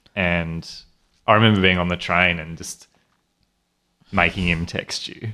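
A man with an Australian accent speaks at a fairly slow pace in a very deep, low pitch, monotone and flat, with a bright, sharp tone. His loudness swings widely, and long pauses come often. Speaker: podcast host. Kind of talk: casual chat.

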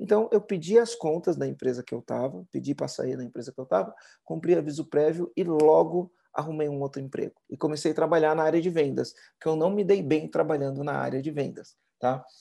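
A man talks at a fairly quick pace with ordinary pitch variation against a quiet background. His voice is fairly high, with a dark, mellow tone. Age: 40s. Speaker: entrepreneur and business consultant. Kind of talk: podcast interview.

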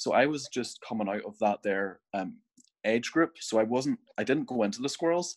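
In a Northern Irish accent, a man speaks with lively intonation, the sound dry and close with no echo. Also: medium pitch for a man, moderate pace. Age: 20s. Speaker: scout volunteer. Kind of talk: casual chat. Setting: video call.

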